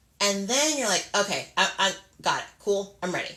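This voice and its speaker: This woman talks at a moderate pace. Her pitch moves with ordinary variation. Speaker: makeup artist and beauty business owner. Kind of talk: casual live stream chat. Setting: live video stream. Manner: chatty, lots of filler words.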